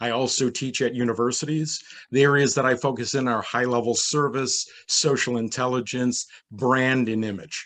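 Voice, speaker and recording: A man with an American accent has an ordinary speaking voice at medium pitch. His intonation is fairly even against a quiet background. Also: moderate pace. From New York, US. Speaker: hospitality consultant. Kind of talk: panel discussion. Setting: virtual event.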